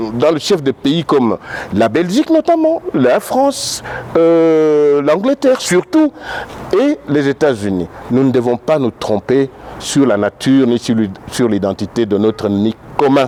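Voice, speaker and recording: The speech runs at a fairly slow pace with lively intonation and very even loudness, in a dry, close sound with no echo and noticeable background noise. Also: man, fairly high pitch for a man. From DR Congo, Katanga, Lubumbashi. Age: 60s. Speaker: political activist. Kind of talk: interview. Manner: halting.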